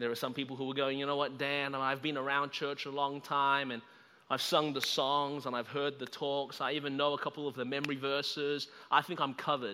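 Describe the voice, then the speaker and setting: A man talks fairly quickly with an Australian accent, his tone bright and sharp. His intonation stays monotone and flat. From Australia, Melbourne. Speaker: guest preacher. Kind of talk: sermon. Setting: church service, livestreamed.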